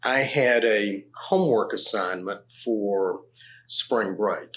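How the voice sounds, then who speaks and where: This is a man talking. His pace is very slow. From US South, Tennessee. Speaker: actuary, former professional body president. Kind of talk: interview. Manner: halting.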